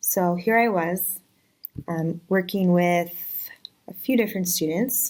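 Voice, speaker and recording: A woman speaks with a Virginia accent at medium pitch. Her intonation is fairly even and her pace moderate. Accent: American, Virginia. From US, Virginia. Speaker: special education teacher. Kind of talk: casual self-introduction video. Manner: casual, some hesitations.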